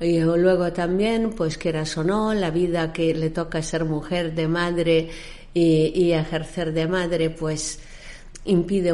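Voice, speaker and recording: A woman at a fairly slow pace, in a monotone, flat delivery. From raised internationally, born in Egypt. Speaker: maritime services company founder. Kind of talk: interview.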